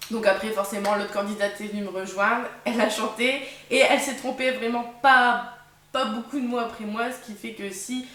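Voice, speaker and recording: A woman with a strong northern French accent, fairly high in pitch and fairly even in intonation, her loudness swinging widely amid noticeable background noise and audible room echo. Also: moderate pace. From northern France. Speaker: vlogger, former game show contestant. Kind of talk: casual vlog storytelling. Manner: hesitant, many fillers.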